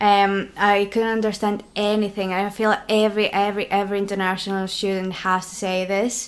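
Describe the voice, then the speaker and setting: In a Greek accent, a woman speaks at a medium pitch and a fairly quick pace, monotone and flat, with hardly any pauses. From Greece, Crete. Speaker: law student. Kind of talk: casual chat. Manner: hesitant.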